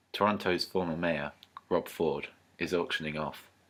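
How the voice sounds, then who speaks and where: With a British accent, a man speaks in a very deep, low pitch and fairly even intonation. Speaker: podcast co-host. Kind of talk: casual chat. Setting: recording at his home with friends.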